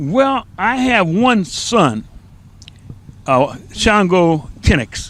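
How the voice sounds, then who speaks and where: Amid noticeable background noise, the speaker goes at a very slow pace with long, frequent pauses and very wide pitch swings. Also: man, high pitch for a man. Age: 80s+. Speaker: community pioneer. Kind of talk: interview. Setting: live TV studio. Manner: halting.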